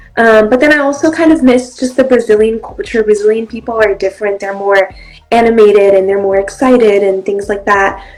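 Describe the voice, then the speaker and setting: Music plays behind a woman whose fairly high voice moves at a fairly quick pace with ordinary pitch variation. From Brazil. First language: Portuguese. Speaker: actress and model. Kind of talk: interview.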